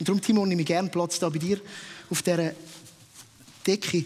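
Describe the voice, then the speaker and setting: Speaking very fast, a man uses a high pitch and fairly even intonation. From Switzerland, Winterthur area. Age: 30s. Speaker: pastor. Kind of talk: sermon. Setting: stage with audience.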